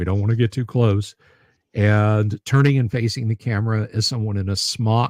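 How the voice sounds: A natural reading voice comes with fairly even intonation. The background is quiet.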